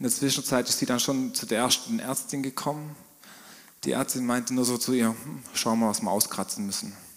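This man has a plain, everyday voice at medium pitch. He talks at a fairly quick pace with ordinary pitch variation. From southwestern Germany, Swabian Jura. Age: 30s. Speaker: business owner. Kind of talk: church interview testimony.

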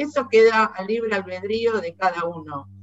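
Speaking fairly slowly in a Rioplatense accent, a woman uses a medium pitch and ordinary pitch variation. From Argentina. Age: 60s. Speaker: museum director, dictatorship survivor. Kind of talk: testimony.

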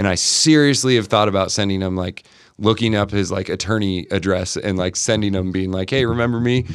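This man has a plain, everyday voice with a fairly low pitch. His pitch varies in an ordinary way. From Montana. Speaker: basketball skills trainer. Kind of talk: casual chat.

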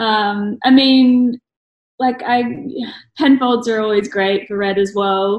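At a very slow pace, a woman with an Australian accent speaks at a fairly high pitch with fairly even intonation. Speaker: blogger and graphic designer. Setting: video call.

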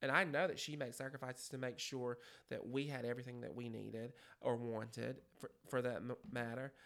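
Moving at a fairly quick pace, a man talks with fairly even intonation. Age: 30s. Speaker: schoolteacher and basketball coach. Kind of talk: casual chat.

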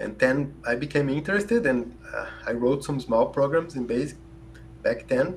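A man with a Brazilian accent talks at a moderate pace, his fairly high voice lively in intonation, with noticeable background noise behind him. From southern Brazil, Rio Grande do Sul. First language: Portuguese. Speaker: computer scientist and optimization researcher. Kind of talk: podcast interview.

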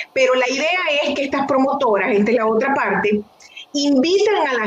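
Amid noticeable background noise, a woman speaks at a moderate pace with lively intonation. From Venezuela. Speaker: nonprofit executive director, physician. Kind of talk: interview conversation.

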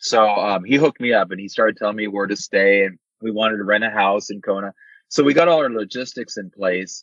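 In a plain, everyday voice, a man talks at a fairly quick pace with a fairly low pitch and ordinary pitch variation. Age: 50s. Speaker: amateur triathlete. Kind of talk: casual interview.

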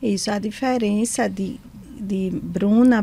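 A woman's dark, mellow, somewhat breathy voice at medium pitch, very slow, with ordinary pitch variation. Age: 40s. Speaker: psychologist and school director. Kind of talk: testimony. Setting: studio.

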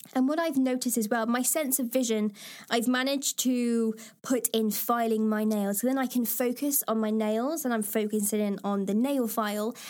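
A woman with an East Midlands accent, fairly high in pitch, with fairly even intonation and very even loudness, at a moderate pace, on a very clean recording with a silent background. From England, Lincoln. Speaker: podcast host. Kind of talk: reading aloud with personal commentary.

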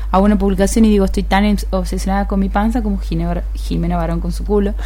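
A woman's fairly quick, monotone, flat delivery, with music in the background and audible room echo. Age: 30s. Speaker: radio host. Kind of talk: casual chat.

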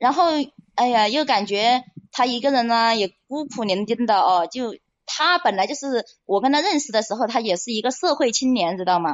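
In a plain, everyday voice, a woman with a fairly high pitch speaks at a moderate pace with lively intonation. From Hunan, China. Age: 30s. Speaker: caller. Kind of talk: personal story on call-in show.

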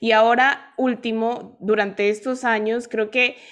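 A woman with an ordinary speaking voice, fairly high in pitch, at a fairly slow pace against a quiet background. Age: 20s. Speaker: podcast host. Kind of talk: interview.

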